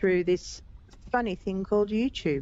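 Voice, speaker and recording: Here a woman is talking. She has an Australian accent. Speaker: gaming streamer. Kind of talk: live gameplay stream chat. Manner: chatty, upbeat.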